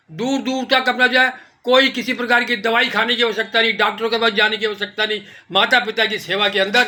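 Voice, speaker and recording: The voice is raised and projected, moving at a moderate pace. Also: man. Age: 70s. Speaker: vlogger. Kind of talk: casual vlog commentary. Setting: home kitchen.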